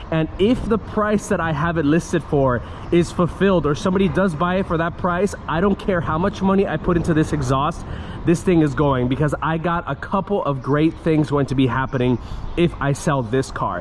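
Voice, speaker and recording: The voice shows ordinary pitch variation against noticeable background noise. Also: man, fairly high pitch for a man, moderate pace. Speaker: car vlogger. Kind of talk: POV driving vlog. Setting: in a car. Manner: loud.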